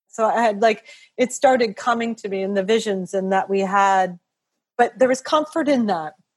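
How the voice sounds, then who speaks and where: The speaker is a woman with an unremarkable speaking voice. Her pitch is fairly high, with ordinary variation. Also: moderate pace. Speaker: podcast host. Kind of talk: interview conversation.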